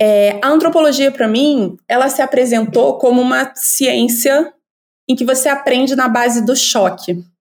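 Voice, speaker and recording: A high-pitched woman's voice at a fairly slow pace, with very even loudness and ordinary pitch variation. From Brazil, Rio de Janeiro suburbs. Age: 40s. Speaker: anthropologist. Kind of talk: casual interview chat.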